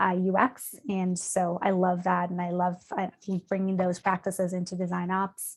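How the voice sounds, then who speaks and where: Moderate pace from a woman speaker. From Canada. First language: not English. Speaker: design operations leader. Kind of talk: conference presentation.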